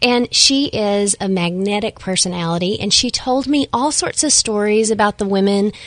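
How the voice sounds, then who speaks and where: In a Texan accent, a woman talks at a medium pitch and a moderate pace with ordinary pitch variation. Her loudness stays very even, and there are hardly any pauses. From Texas. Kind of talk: radio interview.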